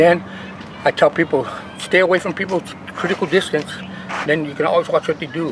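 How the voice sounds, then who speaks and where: A man at a fairly quick pace, ordinary pitch variation, and noticeable background noise. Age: 60s. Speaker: martial arts grandmaster. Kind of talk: casual interview talk. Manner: halting, repetitive.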